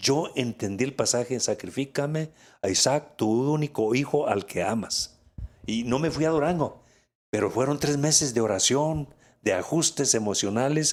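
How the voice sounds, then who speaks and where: The recording is very clean, with a silent background. A man with an unremarkable speaking voice talks at a moderate pace. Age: 60s. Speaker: pastor. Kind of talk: interview testimony.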